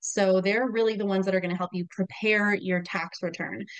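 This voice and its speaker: Medium in pitch with an American accent, a woman talks in an unremarkable speaking voice. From US Southwest, New Mexico. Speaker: bookkeeper. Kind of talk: podcast interview.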